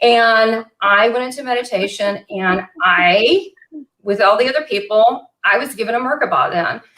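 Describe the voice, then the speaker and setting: An animated woman's voice with a Southern US accent. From US South, western Kentucky. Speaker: psychic medium and show host. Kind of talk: casual interview chat. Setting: live online video chat.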